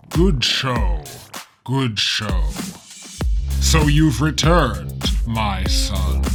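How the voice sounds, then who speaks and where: Faint music plays in the background as a man in a cartoonish character voice speaks very slowly in a very deep, low pitch, with long, frequent pauses. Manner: formal, stately, coldly measured.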